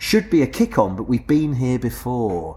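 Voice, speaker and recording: A man with a medium-pitched, somewhat breathy voice talks at a moderate pace. His pitch swings very widely. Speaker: podcast host. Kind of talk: casual chat. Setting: pub taproom.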